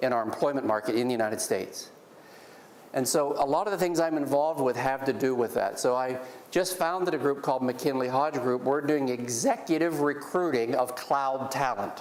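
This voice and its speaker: A man with an American accent speaks at a fairly quick pace, his pitch fairly high with ordinary variation and his loudness very even. Audible room echo and noticeable background noise are heard. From Pennsylvania. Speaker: business executive and guest speaker. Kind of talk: guest lecture to students. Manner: fast.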